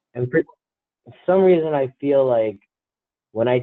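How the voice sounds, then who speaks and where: A man with an American accent, at a moderate pace, with ordinary pitch variation. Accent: New Jersey accent, noticed by others. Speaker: podcast co-host. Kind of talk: casual chat.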